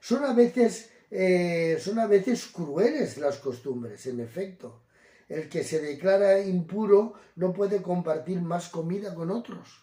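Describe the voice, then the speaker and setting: Speaking at a very slow pace, a man has a high voice with a dark, mellow tone and lively intonation. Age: 70s. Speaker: Gitano evangelical preacher. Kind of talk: talk on Gitano customs and Bible. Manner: hesitant, many fillers and self-corrections.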